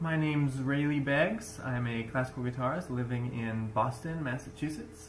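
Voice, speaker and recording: Moderate pace and medium pitch from a man, noticeable background noise around him. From US South, Florida (Tampa). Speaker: classical guitarist. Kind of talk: recorded video message.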